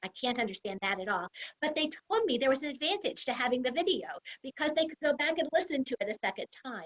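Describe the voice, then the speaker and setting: The voice races at a very fast pace with very wide pitch swings. The sound is dry and close, with no echo. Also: woman, high pitch for a woman. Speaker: university administrator and psychology professor. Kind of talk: online information session talk.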